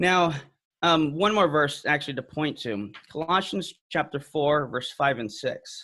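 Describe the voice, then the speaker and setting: Heard on a very clean recording with a silent background, the man speaks at a fairly high pitch with ordinary pitch variation. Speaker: apologetics speaker. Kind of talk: talk. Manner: fast.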